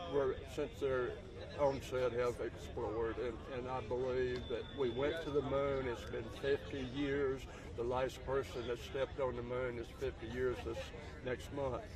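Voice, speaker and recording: With noticeable background noise behind him, a man of medium pitch speaks at a fairly slow pace in monotone, flat intonation. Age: 80s+. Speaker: retired NASA engineer. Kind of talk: casual interview. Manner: halting, many fillers.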